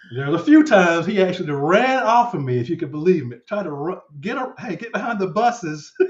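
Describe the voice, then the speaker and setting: A man speaks very fast at a high pitch, with hardly any pauses and big swings in loudness. His pitch swings very widely over noticeable background noise. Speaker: finance channel host. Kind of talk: casual interview chat. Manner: halting, repetitive.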